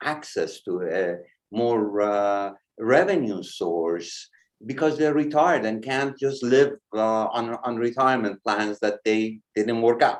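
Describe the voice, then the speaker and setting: Against a quiet background, a man speaks at a fairly slow pace and a medium pitch. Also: ordinary pitch variation. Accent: non-native. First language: not English. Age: 60s. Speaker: presenter. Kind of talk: webinar presentation. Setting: live online stream. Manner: hesitant with fillers.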